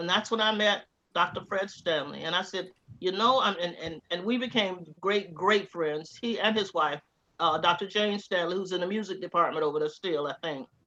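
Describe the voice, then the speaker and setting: A woman with a Southern US accent, medium pitch, ordinary pitch variation and a moderate pace. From US South, Georgia and Tallahassee, Florida. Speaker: interviewee, former graduate student. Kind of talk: oral history interview. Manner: animated storytelling.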